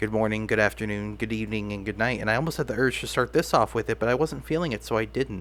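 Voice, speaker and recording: Very fast and marked by vocal fry, a man's voice sits at a medium pitch. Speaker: video diary vlogger. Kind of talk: casual monologue. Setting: alone at home. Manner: halting, repetitive.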